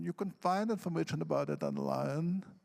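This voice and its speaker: In a non-native accent, the speaker swings very widely in pitch on a very clean recording with a silent background. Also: man. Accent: foreign. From Odesa, Ukraine. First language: Russian. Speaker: poet. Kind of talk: panel discussion.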